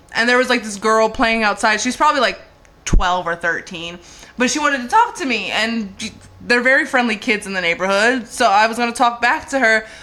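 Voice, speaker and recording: Background noise is noticeable here. The woman's delivery runs fairly quick. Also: ordinary pitch variation. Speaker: comedian. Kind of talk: casual chat.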